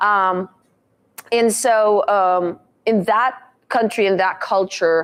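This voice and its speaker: With a Russian accent, a woman speaks at a medium pitch with ordinary pitch variation. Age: 30s. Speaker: motivational speaker. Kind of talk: talk to a live audience. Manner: frequent hesitations (um, uh).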